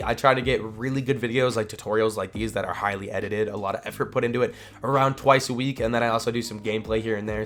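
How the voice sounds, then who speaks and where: At a very fast pace, a man talks at medium pitch with fairly even intonation. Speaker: gaming YouTuber. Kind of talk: tutorial. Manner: casual, with frequent fillers.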